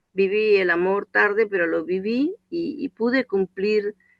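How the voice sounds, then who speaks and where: A woman speaks at a very slow pace with lively intonation. Her pitch is medium. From Calabria, Italy. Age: 70s. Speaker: course participant. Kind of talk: group discussion.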